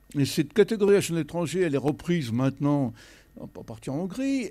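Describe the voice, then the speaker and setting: A man's dark, mellow tone with lively intonation. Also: quiet background. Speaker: lawyer; panelist. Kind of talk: panel discussion. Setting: stage with audience. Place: hall. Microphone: handheld.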